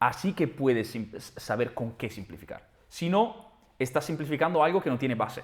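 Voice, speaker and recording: At a moderate pace, a man speaks in a somewhat breathy, fairly high voice with very wide pitch swings. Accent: Italian. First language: Italian (speaking Spanish). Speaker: trader and trading platform founder. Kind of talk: interview. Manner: halting, many false starts and repetitions.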